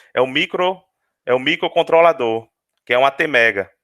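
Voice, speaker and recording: A man's bright, sharp tone and lively intonation, in a dry, close sound with no echo. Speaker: university lecturer. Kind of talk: webinar lecture. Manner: fast; halting, many repetitions.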